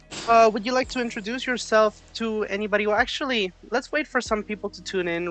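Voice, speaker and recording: The speaker keeps up a fairly quick pace while music sounds in the background. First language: not English. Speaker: chess coach streamer. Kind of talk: live coaching stream. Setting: live stream online call.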